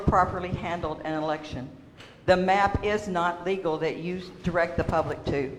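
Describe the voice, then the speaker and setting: Amid noticeable background noise and audible room echo, a woman speaks fairly quickly with fairly even intonation. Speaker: public commenter at a water district meeting. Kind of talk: public comment speech. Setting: public meeting.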